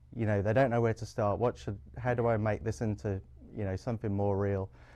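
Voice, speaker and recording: A man speaks with an English accent. His tone is dark and mellow. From England. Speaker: public librarian. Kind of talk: interview.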